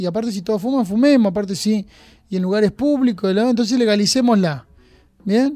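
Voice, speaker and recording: Fairly quick in pace, a man with a high pitch and a dark, mellow tone talks with ordinary pitch variation. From Argentina, Junín (Buenos Aires province). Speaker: parish priest. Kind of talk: radio interview.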